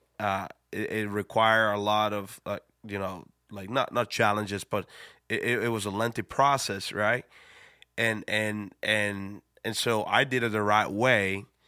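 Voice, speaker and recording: In a Spanish accent, a man speaks at a fairly slow pace and fairly low pitch in a monotone, flat intonation, with a dry, close sound and no echo. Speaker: pastor. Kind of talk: casual chat.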